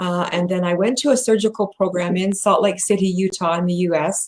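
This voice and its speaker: This is an ordinary speaking voice with an American accent. The intonation stays fairly even, and the pace is moderate. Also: woman. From US. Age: 60s. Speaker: bariatric patient advocate and company president. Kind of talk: interview presentation. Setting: video call livestream.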